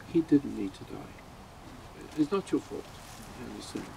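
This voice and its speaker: A man's voice against noticeable background noise. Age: 80s+. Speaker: funeral speaker. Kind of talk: eulogy speech. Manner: halting.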